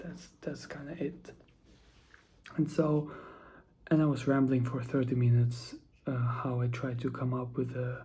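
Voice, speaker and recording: A soft-spoken man talks at a fairly slow pace with long, frequent pauses, his medium pitch carrying a dark, mellow, somewhat breathy tone. The intonation stays fairly even, and there is audible room echo. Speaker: vlogger. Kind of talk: casual monologue vlog. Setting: at home, early morning. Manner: soft-spoken, quiet; halting, many fillers.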